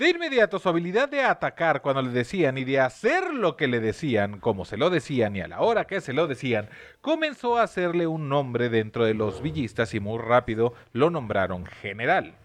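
A man with a Mexican accent speaks at a moderate pace and medium pitch, with hardly any pauses. His pitch swings very widely over a quiet background. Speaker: podcast host telling history stories. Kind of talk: casual chat with storytelling. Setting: different recording set.

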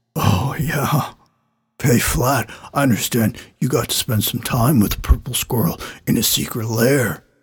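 A man uses a raspy, put-on character voice at a moderate pace. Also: medium pitch for a man. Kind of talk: radio talk-show host. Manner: gushing, starstruck, oblivious.

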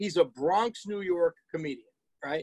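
This man's voice sits high in pitch, captured with a dry, close sound and no echo. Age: 60s. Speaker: collision repair business owner, podcast co-host. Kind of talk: casual chat, storytelling. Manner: animated.

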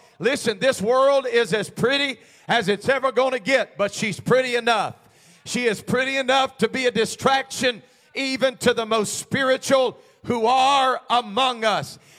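At a moderate pace, a man speaks in an animated tone with an extremely high voice. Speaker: preacher. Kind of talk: sermon. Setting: church. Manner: animated, exhorting call-and-response delivery; fervent, urgent altar-call pleading.

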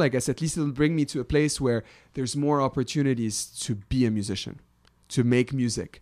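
A man with a Lebanese accent and medium pitch speaks at a moderate pace on a very clean recording with a silent background. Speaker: electronic musician. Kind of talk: casual interview chat. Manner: animated, casual.

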